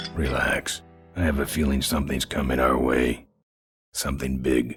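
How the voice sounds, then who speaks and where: A man's raspy, put-on character voice at a very deep, low pitch, with very even loudness and faint music in the background. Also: moderate pace. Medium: video game cutscene. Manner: terse, laconic.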